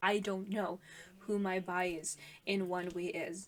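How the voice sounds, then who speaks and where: A woman with a non-native accent. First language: not English. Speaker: music reaction youtuber. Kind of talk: casual reaction commentary. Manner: hesitant, many fillers.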